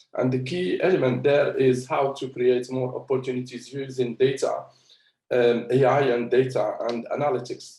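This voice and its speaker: A man with a somewhat breathy, medium-pitched voice speaks at a moderate pace. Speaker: investment firm founder, panel speaker. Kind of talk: panel discussion. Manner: halting, many fillers.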